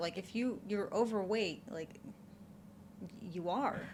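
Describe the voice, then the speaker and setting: Here a woman speaks at a fairly slow pace in a somewhat breathy voice. Her pitch is medium with ordinary variation. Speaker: reaction youtuber. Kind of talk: reaction commentary. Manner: animated.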